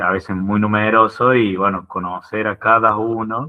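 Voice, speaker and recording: Talking at a fairly slow pace, a man keeps a fairly low pitch and fairly even intonation. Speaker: football coach. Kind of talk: group discussion.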